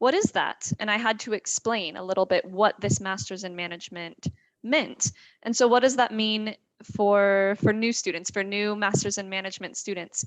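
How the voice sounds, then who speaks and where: In an American accent, a woman talks at a moderate pace and a medium pitch. She has a plain, everyday voice with ordinary pitch variation. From United States. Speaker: admissions representative. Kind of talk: panel discussion.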